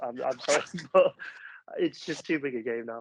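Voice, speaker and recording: A man with a northeast English accent talks at a moderate pace. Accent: north-east English (Sunderland). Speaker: football fan pundit. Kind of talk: casual chat.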